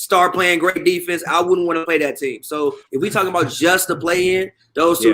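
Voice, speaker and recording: His intonation fairly even, a man speaks with a high pitch. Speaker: sports talk show panelist. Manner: fast talker.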